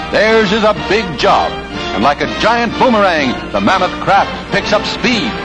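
Over clear music in the background, the speech moves at a fairly slow pace with hardly any pauses. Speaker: newsreel narrator. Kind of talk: newsreel narration. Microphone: old recording.

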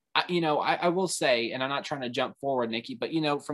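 Against a quiet background, the speaker goes at a very fast pace. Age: 20s. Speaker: panelist on fan podcast; guest. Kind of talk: panel discussion. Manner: halting; animated. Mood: opinionated, mildly heated. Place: home room. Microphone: video call.

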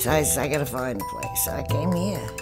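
With clear music in the background, a woman talks in an American accent. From New York. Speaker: assisted living resident. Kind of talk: testimonial interview answer. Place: home room.

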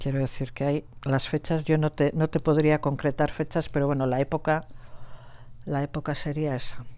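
This woman has a very deep, low pitch and a dark, mellow tone. She talks at a moderate pace with monotone, flat intonation. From Basque Country, Gipuzkoa; Basque Country. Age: 60s. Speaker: nurse and Sahrawi cause activist; interviewee. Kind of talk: interview testimony. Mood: earnest, emotional recollection. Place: home room.

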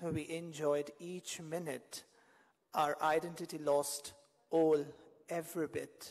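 A man talks at a very slow pace. The background is quiet. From India (Kolkata). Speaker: poet. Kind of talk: poetry reading. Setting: stage with audience. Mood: wistful, romantic. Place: stage. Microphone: podium.

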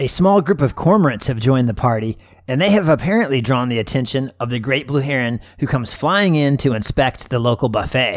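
A man with an ordinary speaking voice talks at a fairly quick pace with hardly any pauses. His medium-pitched delivery has lively intonation. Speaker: wildlife photographer and video creator. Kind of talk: scripted nature documentary narration over footage. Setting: video voiceover. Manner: measured, smooth, storytelling tone with gentle wonder; lightly playful and warm, like a documentary narrator.

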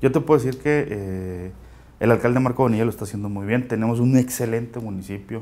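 A man with a northern Mexican accent, very fast pace, fairly even intonation and a dark, mellow tone. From Mexico, Chihuahua. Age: 30s. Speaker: local politician. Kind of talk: interview. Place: studio. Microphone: lapel.

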